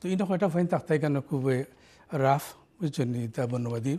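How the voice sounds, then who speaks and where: The tone is dark and mellow, and somewhat breathy. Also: man. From Sylhet, Bangladesh (Bishwanath); Sylhet, Bangladesh. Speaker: community leader and anti-racism activist. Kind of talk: interview. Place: studio. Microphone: lapel.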